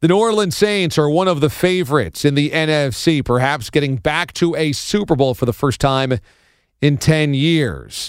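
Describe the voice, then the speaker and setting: A man with a fairly high pitch and ordinary pitch variation speaks in an ordinary speaking voice on a very clean recording with a silent background. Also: moderate pace. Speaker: sports radio host. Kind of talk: sports talk show monologue. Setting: studio.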